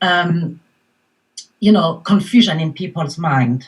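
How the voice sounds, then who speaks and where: A somewhat breathy woman's voice in a French accent at a fairly slow pace. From France, Paris. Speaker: mindfulness coach. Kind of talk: panel discussion.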